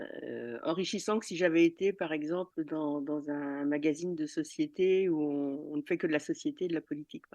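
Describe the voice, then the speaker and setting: Her very deep, low pitch and dark, mellow tone carry fairly even intonation at a moderate pace with hardly any pauses. The woman's loudness swings widely against a quiet background. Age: 60s. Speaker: retired journalist. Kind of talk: interview. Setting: recorded outside the studio. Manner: hesitant, many fillers and repetitions.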